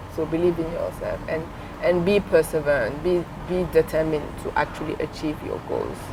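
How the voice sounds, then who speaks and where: The speaker has a French accent. Noticeable background noise runs behind the voice. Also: woman. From Senegal. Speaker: entrepreneur. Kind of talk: interview.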